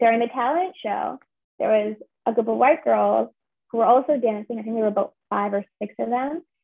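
Speaking at a fairly quick pace, a woman with a plain, everyday voice talks at a fairly high pitch with ordinary pitch variation. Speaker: drama graduate and writer. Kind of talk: interview.

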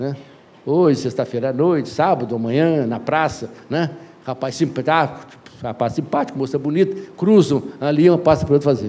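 With noticeable background noise behind him, a man speaks at a moderate pace. His pitch is fairly high, with ordinary variation. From Brazil. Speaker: educator and anthropologist. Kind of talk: interview storytelling. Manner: animated.

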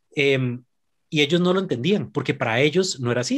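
A man's fairly high voice with a Costa Rican accent, lively intonation and a fairly quick pace, in a very clean recording over a silent background. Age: 30s. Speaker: podcast guest. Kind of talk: casual chat.

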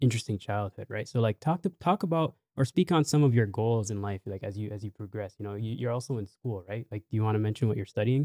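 On a very clean recording with a silent background and a dry, close sound with no echo, a man with a Canadian accent talks at a very fast pace in a medium pitch with ordinary pitch variation. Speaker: podcast host. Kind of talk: casual chat. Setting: studio. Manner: animated.

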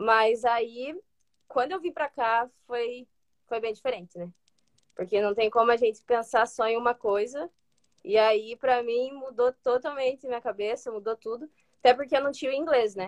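Heard in a dry, close sound with no echo, a woman speaks at a high pitch. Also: ordinary pitch variation, moderate pace. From Brazil, Ponta Grossa, Paraná. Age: 20s. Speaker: student athlete, soccer player. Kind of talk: interview.

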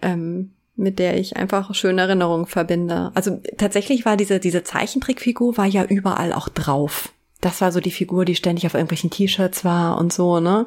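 A woman speaks in a normal speaking voice at a moderate pace, with medium pitch, fairly even intonation and very even loudness. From Eifel, western Germany. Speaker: intro voice of the show. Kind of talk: casual chat.

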